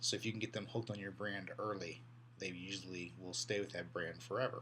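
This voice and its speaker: In a room with audible echo, a man with a fairly low pitch talks at a very fast pace, his pitch varying in an ordinary way. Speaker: college instructor. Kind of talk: lecture. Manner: halting, many repeated words.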